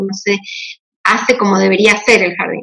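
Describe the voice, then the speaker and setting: This woman has a plain, everyday voice at a medium pitch. Her intonation stays fairly even and her pace moderate. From Argentina, Mendoza. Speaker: homeschooling mother. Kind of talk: casual chat.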